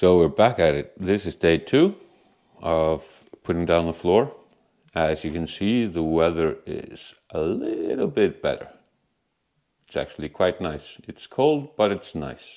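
Long, frequent pauses run through this man's speech. He moves at a fairly slow pace. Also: quiet background. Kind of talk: casual vlog chat. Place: home room. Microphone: lapel.

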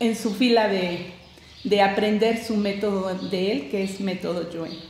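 A woman speaks at a very slow pace with ordinary pitch variation. Light background noise and audible room echo sit behind her voice. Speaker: guest. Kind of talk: interview answer. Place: studio.

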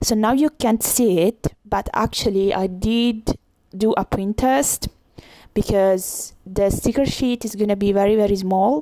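In a strong Italian accent, a woman talks at a fairly slow pace with a medium pitch, fairly even intonation, and a dark, mellow tone, recorded with a dry, close sound and no echo. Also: very even loudness. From Italy. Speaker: illustrator. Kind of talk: tutorial voiceover.

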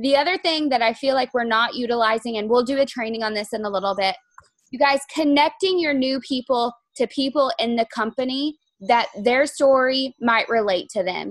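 A woman's high voice at a moderate pace, with ordinary pitch variation, a quiet background and a dry sound with no echo. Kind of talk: team training talk. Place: home room. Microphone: video call.

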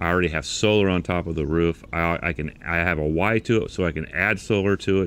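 Speaking at a fairly quick pace, a man with a very deep, low pitch comes through with a dry sound and no echo. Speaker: product reviewer. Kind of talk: casual explainer talk. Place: garden. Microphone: lapel.

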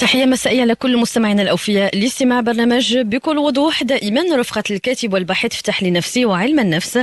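A woman speaks at a fairly quick pace with hardly any pauses and very even loudness. Her high pitch varies in an ordinary way, and the sound is dry with no echo. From Morocco. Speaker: radio presenter. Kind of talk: radio presenting. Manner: formal. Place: studio.

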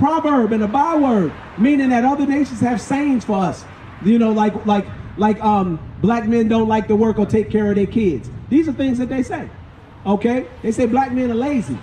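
A man's voice, extremely high in pitch, moves at a moderate pace with ordinary pitch variation. Light background noise can be heard. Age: 50s. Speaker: street preacher. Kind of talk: street preaching. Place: street.

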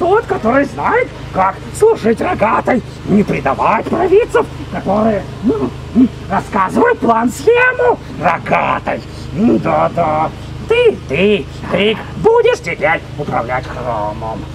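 Loud background noise runs under the recording. A man speaks at a fairly slow pace in a put-on character voice. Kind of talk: LARP in-character speech. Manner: boastful, megalomaniac.

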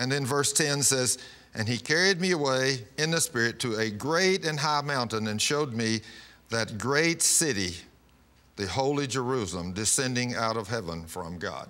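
At a moderate pace, a man talks in a bright, sharp tone. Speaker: pastor. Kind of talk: sermon. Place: studio. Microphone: lapel.

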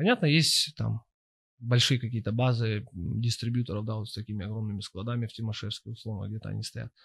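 A man's somewhat breathy voice at a moderate pace over a quiet background. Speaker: podcast host. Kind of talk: casual interview. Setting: studio. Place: studio. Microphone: studio mic.

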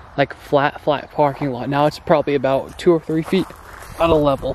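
Fairly even intonation from a man at a moderate pace, dry with no echo, over light background noise. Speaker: explorer vlogger. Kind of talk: casual vlog chat. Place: open country. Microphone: phone near.

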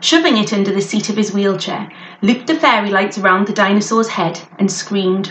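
Someone reads aloud in a natural voice with fairly even intonation.

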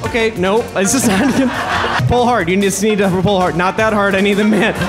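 A man speaking at a moderate pace, with clear music in the background. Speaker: comedian and magician. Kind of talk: live stand-up comedy magic show. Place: stage. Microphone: handheld.

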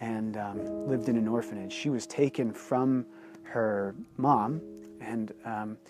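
Clear music plays behind a man talking at a very slow pace, the sound dry with no echo. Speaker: author and blogger. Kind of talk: personal storytelling to camera. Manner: casual, hesitant with fillers. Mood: earnest, reflective storytelling. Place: open country. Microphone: lapel.

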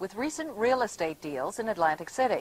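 A woman speaks at a fairly quick pace in a fairly high pitch, her voice swinging very widely up and down. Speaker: news anchor. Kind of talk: 1980s TV news report, scripted newsreading. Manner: formal, brisk, even-toned. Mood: calm, formal. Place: studio. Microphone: lapel.

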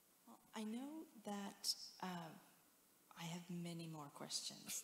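With an American accent, a woman talks in a fairly low pitch, with audible room echo and light background noise. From Houston, Texas. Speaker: museum director; interviewer. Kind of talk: interview. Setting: stage with audience. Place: stage. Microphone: handheld.

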